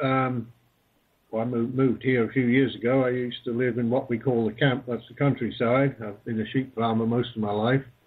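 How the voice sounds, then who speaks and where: Flat and monotone, a man with a Falkland Islands accent speaks at a medium pitch and a fairly quick pace. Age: 60s. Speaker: retired sheep farmer and marine police officer. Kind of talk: interview.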